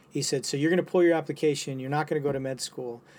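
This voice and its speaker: Fairly even intonation comes through in a very clean recording with a silent background. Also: man. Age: 50s. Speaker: physician and military veteran. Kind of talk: casual chat.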